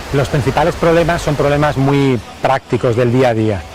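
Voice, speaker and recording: Crowd noise fills the background as a man speaks. His voice is fairly high, with a fairly quick pace and ordinary pitch variation. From Spain, Aragon (Broto, Pyrenees). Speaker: Spanish expat, former UN worker. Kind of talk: interview. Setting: outdoors on location. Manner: halting, frequent repetitions.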